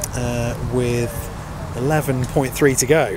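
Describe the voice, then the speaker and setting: A man's voice amid noticeable background noise. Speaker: cricket commentator and club video maker. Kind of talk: live sports commentary on a cricket match. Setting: outdoors at a cricket ground in wind and rain. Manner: chatty and informal, interjecting 'oh dear' and laughing.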